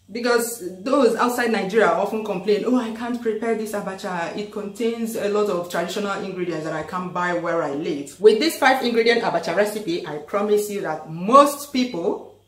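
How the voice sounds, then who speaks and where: A woman speaks at a moderate pace with hardly any pauses, with audible room echo and faint music in the background. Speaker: cooking channel host. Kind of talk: casual vlog chat. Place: kitchen.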